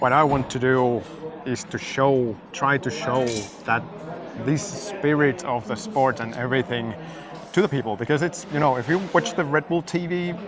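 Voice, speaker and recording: Speaking with a Finnish accent, a man with a fairly high voice keeps a moderate pace. His intonation is lively, and there is noticeable background noise. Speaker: drifting YouTuber interviewer. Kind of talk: casual interview. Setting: race paddock. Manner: halting, many fillers.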